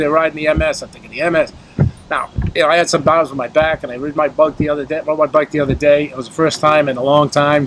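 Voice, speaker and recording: Very fast speech from a man, fairly high in pitch, with fairly even intonation and noticeable background noise. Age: 60s. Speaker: talk show co-host. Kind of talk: casual chat. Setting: outdoors.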